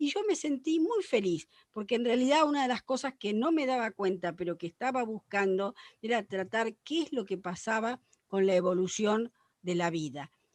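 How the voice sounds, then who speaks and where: A woman speaks at a moderate pace with a fairly high pitch and very wide pitch swings, recorded with a dry, close sound and no echo. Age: 70s. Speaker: paleontologist. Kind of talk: panel discussion.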